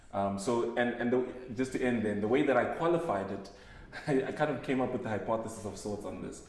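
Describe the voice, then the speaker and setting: A man with a Zimbabwean accent at a medium pitch, with ordinary pitch variation and a very fast pace, amid audible room echo and noticeable background noise. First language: Shona. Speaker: panel guest. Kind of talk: casual chat.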